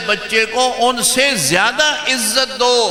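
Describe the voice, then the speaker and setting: A man raises and projects his high voice. Noticeable background noise and audible room echo surround him. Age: 70s. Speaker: Islamic scholar. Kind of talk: sermon.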